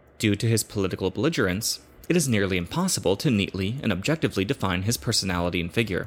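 Very fast and lively in intonation, a man speaks at fairly low pitch with very even loudness on a very clean recording with a silent background. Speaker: audiobook narrator. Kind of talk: reading aloud a translated political essay, history documentary narration. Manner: formal; measured, steady, solemn.

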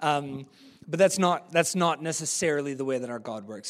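A man's fairly high voice at a fairly quick pace. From New Zealand. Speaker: preacher. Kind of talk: sermon. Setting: church. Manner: casual, conversational.

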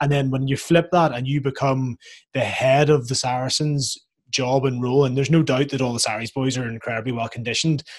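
Somewhat breathy and very fast, the voice keeps fairly even intonation in a Northern Irish accent. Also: man, medium pitch for a man. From Northern Ireland. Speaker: podcast host, rugby player. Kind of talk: casual interview.

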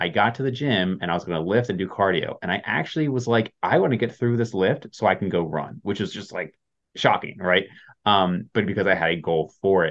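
Here a man talks in a normal speaking voice at a fairly low pitch. His pace is fairly quick and his intonation lively. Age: 30s. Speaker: fitness podcast host. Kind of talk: casual chat.

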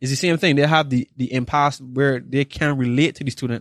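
In a dry, close sound with no echo, a man with an ordinary speaking voice and medium pitch talks at a fairly quick pace with ordinary pitch variation. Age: 20s. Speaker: podcast host, former student. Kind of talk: casual interview chat.

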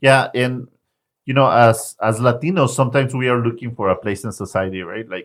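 A voice with a Spanish accent moves at a fairly quick pace with ordinary pitch variation. The recording is very clean with a silent background. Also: man, medium pitch for a man. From Mexico, Zacatecas. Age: 30s. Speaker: nonprofit founder and director. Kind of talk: podcast conversation.

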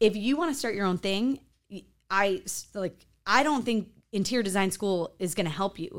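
With an American accent, a woman uses a plain, everyday voice at medium pitch and a moderate pace, with ordinary pitch variation on a very clean recording with a silent background. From US Midwest, farm town near Chicago. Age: 40s. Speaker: interior designer. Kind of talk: casual interview.

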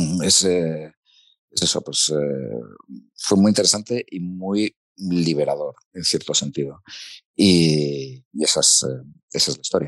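Very deep and low in pitch, a man speaks at a very slow pace. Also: ordinary pitch variation. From Spain, Asturias (Gijón). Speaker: foreign correspondent journalist. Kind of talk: interview conversation.

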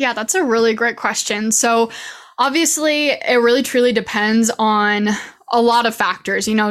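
At a moderate pace, a woman with an American accent talks in a plain, everyday voice, fairly high in pitch with ordinary pitch variation. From Idaho. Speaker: social media coach. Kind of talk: interview.

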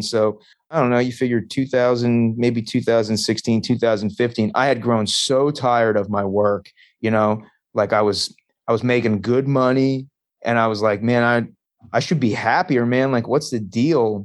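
A man talks at a moderate pace with medium pitch, fairly even intonation and very even loudness in an unremarkable speaking voice. The background is quiet. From Long Island, New York. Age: 40s. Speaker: stand-up comedian and comedy club owner. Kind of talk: casual chat.

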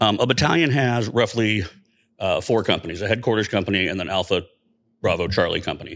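In a very clean recording with a silent background, a man with an American accent talks very fast at medium pitch with ordinary variation. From central Indiana. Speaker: army medic veteran. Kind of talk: casual chat. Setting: studio.

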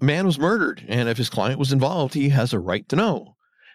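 What you hear is a natural reading voice.

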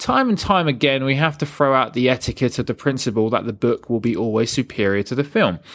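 An unremarkable speaking voice from a man at medium pitch, fairly quick pace and ordinary pitch variation, on a very clean recording with a silent background. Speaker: film podcast host. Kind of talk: scripted narration.

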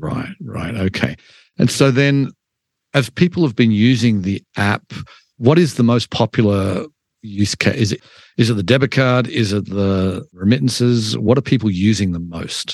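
A man with a plain, everyday voice and an American accent speaks at medium pitch and a moderate pace with lively intonation, in a dry, close sound with no echo against a quiet background. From outside the US. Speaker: podcast host. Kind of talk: interview.

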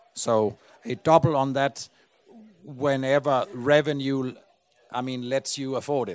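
A man with a Danish accent, fairly slow and fairly even in intonation, with long, frequent pauses and a dry, close sound free of echo. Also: medium pitch for a man. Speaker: podcast host. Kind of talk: on-stage interview. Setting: stage with audience.

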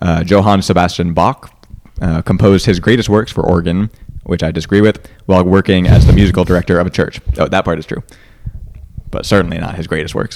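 Very deep, low-pitched man's voice at a fairly quick pace, fairly even in intonation, with noticeable background noise. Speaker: podcast host. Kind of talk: casual chat.

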